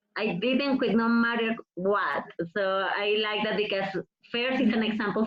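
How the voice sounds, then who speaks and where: A woman with a Mexican accent speaks at a fairly slow pace in a fairly high pitch, her intonation fairly even. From Mexico. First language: Spanish. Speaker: professional wrestler. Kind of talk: interview.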